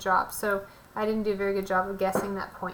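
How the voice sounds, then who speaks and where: A woman's medium-pitched voice holds a monotone, flat intonation, with audible room echo. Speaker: math teacher. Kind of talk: lecture.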